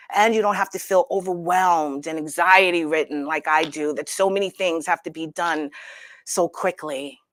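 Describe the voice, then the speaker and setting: A woman with a plain, everyday voice of fairly low pitch speaks at a moderate pace with fairly even intonation, dry and close with no echo on a very clean recording with a silent background. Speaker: talk show host. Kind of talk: casual talk show monologue.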